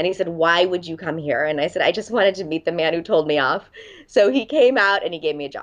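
Talking at a very fast pace, a woman with an American accent uses a fairly low pitch. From Los Angeles, US. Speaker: dating coach and author. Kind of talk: interview.

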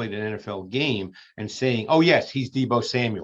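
A man's normal speaking voice at medium pitch, with ordinary pitch variation and a moderate pace. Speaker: football film analyst. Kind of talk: podcast clip analysis.

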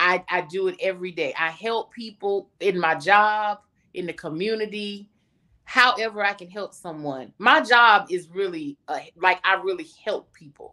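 A woman with a medium pitch speaks with lively intonation. Her tone is bright and sharp. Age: 40s. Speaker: pageant contestant and diabetes advocate. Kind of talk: interview.

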